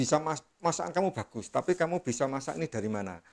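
The speaker talks very fast, the pitch swinging very widely. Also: man. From East Java, Bojonegoro; East Java. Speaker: chef; cooking teacher. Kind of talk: interview. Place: studio.

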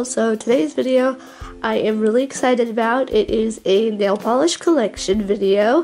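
A woman talks at a moderate pace, her pitch fairly high and ordinarily varied, with music in the background. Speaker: beauty YouTuber. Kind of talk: casual voiceover product review.

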